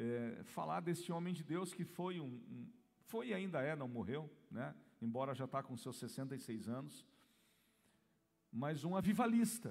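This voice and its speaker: With audible room echo, a man with a fairly high pitch talks at a fairly slow pace, making very wide pitch swings and long, frequent pauses. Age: 40s. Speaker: pastor. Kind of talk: sermon. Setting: church.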